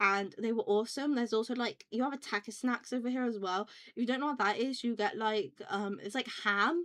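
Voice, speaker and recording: Speaking at a fairly quick pace, a woman uses a fairly high pitch with ordinary pitch variation. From UK. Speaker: vtuber streamer. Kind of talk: casual chat. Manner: rambling, fast with many fillers.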